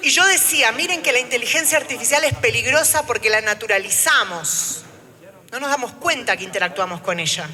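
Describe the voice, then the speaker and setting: A high-pitched woman with an Argentine accent at a fairly quick pace, with very wide pitch swings and noticeable background noise. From Argentina. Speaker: trade unionist. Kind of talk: panel talk. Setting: auditorium with live audience. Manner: speaking standing, addressing audience.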